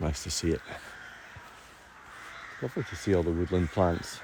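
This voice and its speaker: Over noticeable background noise, a man with a very deep, low pitch speaks at a moderate pace with ordinary pitch variation. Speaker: nature streamer and guide. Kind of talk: casual nature walk commentary to camera. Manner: soothing, calm.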